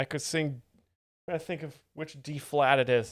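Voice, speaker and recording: A man talks at a moderate pace with fairly even intonation. The recording is very clean, with a silent background. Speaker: comedy streamer explaining jokes. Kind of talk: casual live stream chat.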